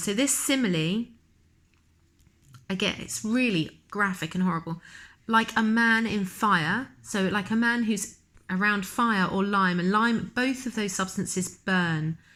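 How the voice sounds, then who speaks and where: Bright and sharp in tone, a woman speaks at a fairly slow pace. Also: very clean recording, silent background. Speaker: teacher. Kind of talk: lecture.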